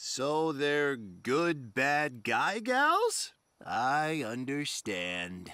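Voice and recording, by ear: A man puts on a cartoonish character voice, fairly high in pitch with very wide pitch swings, at a very slow pace. The recording is very clean with a silent background.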